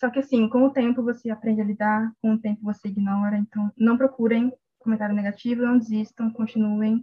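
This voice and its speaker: Speaking at a fairly quick pace with hardly any pauses, a woman holds a fairly high pitch in a monotone, flat intonation. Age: 20s. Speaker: law student and fanfiction writer. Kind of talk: casual interview chat.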